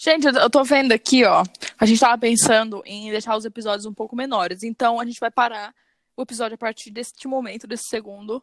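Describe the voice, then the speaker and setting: In a very clean recording with a silent background and a dry, close sound with no echo, a woman uses an ordinary speaking voice, talking fairly quickly at a fairly high pitch with fairly even intonation and big swings in loudness. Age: 20s. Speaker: podcast co-host. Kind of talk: casual chat.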